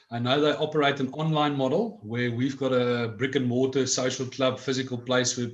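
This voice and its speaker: With a South African accent, a man speaks at a medium pitch and a moderate pace, his intonation fairly even and hardly any pauses. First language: Afrikaans. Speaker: cannabis club director. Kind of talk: interview.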